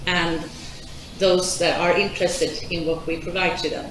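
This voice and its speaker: Audible room echo and noticeable background noise around speech at a moderate pace. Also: woman. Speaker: conference presenter. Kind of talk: presentation talk. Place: hall.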